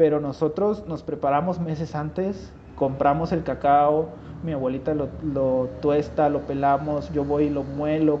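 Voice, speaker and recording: Here a man has an unremarkable speaking voice with a fairly high pitch. He goes at a fairly slow pace with fairly even intonation. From Mexico, Huasteca region of San Luis Potosí. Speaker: industrial designer and leather goods maker. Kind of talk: casual interview.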